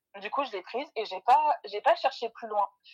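A woman's unremarkable speaking voice, fairly high in pitch with ordinary pitch variation, in a dry, close sound with no echo. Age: 20s. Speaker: mother sharing homemade beauty products. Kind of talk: casual interview.

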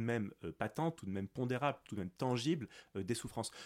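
Medium pitch and ordinary pitch variation from a male speaker. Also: very clean recording, silent background. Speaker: philosophy teacher. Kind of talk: academic interview.

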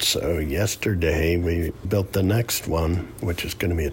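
A man with a very deep, low pitch at a fairly slow pace, over noticeable background noise. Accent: upstate New York. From upstate New York. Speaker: boat builder and river guide. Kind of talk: casual interview. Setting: kitchen at home.

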